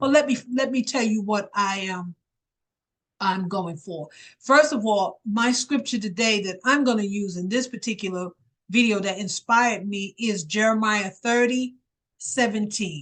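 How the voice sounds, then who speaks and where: Here is a woman with an unremarkable speaking voice. She talks at a fairly slow pace with ordinary pitch variation. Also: fairly high pitch for a woman. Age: 60s. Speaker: evangelist and wellness vlogger. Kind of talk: casual talk to camera about health. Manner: informal, conversational.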